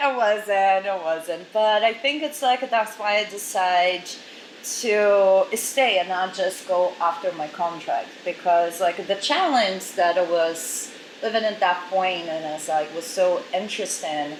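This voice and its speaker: A woman with a Portuguese accent at a medium pitch, ordinary pitch variation, a fairly slow pace and noticeable background noise. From Brazil. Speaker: model agency director. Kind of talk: interview.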